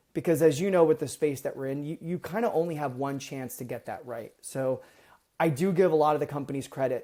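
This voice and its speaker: In a very clean recording with a silent background, a man with an American accent talks in a dark, mellow tone with fairly even intonation. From US East Coast. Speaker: medical device product manager. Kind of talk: podcast interview. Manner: fast.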